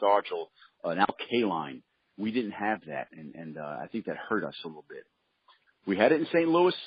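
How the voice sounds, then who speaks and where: In a New York accent, a man talks at a very fast pace. His pitch swings very widely. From Brooklyn, New York City. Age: 60s. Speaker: former baseball pitcher. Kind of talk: interview.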